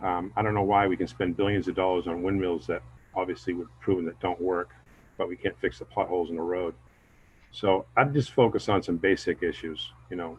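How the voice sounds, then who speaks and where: At a moderate pace, a man talks with a very deep, low pitch. His voice is somewhat breathy and his intonation fairly even. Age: 50s. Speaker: local election candidate. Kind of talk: candidate forum statement.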